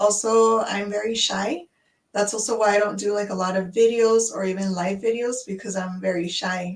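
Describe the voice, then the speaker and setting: Using an unremarkable speaking voice, a woman with an American accent talks at a moderate pace and medium pitch with fairly even intonation. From United States. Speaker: online business owner. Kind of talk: casual chat.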